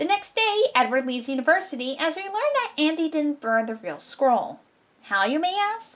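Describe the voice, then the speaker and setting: A woman puts on a character voice. Her pitch is high and swings very widely. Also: moderate pace. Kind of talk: online review commentary. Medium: solo performance. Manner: wry, sarcastic.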